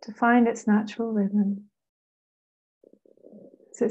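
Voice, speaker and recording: A woman's fairly high, somewhat breathy voice with a dark, mellow tone, monotone, flat intonation, and a very slow pace. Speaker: meditation guide. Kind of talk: guided meditation. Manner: slow, calm, soothing.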